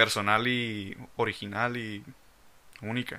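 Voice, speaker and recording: A man with a Mexican accent speaks in a bright, sharp tone with fairly even intonation. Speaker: podcast host. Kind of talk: casual chat.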